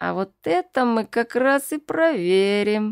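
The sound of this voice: Someone uses a put-on character voice at a fairly slow pace, with a hissing quality. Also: woman.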